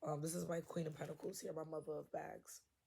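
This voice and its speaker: Her voice is very deep and low for a woman, somewhat breathy with a dark, mellow tone, monotone and flat in intonation at a moderate pace. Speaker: tarot reader. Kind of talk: tarot reading. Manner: casual, conversational.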